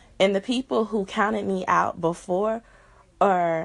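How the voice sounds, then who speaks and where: Speaking at a fairly slow pace with an American accent, this is an unremarkable speaking voice with ordinary pitch variation over a quiet background. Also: woman. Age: 20s. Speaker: podcast host. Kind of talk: casual chat.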